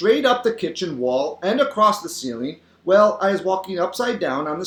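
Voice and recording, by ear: Someone reads the text aloud in a natural voice.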